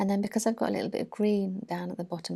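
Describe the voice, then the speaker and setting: A soft-spoken woman with a British accent is heard in a very clean recording with a silent background. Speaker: art journaling YouTuber. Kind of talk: tutorial voiceover. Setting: at home, early morning. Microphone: mic very close, sound may be weird.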